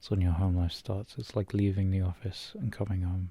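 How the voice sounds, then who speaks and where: Soft-spoken and somewhat breathy, a man with a very deep, low pitch and a dark, mellow tone speaks with fairly even intonation. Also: very clean recording, silent background. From British. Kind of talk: ASMR boyfriend roleplay.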